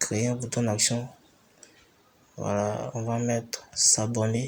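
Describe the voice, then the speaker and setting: Noticeable background noise sits behind this man. He talks very slowly in a monotone, flat delivery. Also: medium pitch for a man. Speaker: tutorial maker. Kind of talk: screen-recorded tutorial narration.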